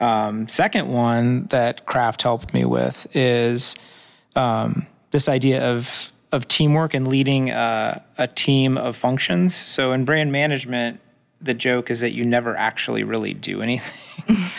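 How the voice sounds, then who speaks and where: Here is a man with an unremarkable speaking voice, medium in pitch. He talks at a fairly slow pace with ordinary pitch variation. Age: 40s. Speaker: entrepreneur. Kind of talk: interview.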